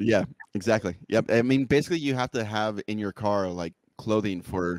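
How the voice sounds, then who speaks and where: Recorded dry and close with no echo, a man speaks at a fairly low pitch with ordinary pitch variation. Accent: American. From US West Coast, Fresno, California. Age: 30s. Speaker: DJ and streamer. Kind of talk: casual chat.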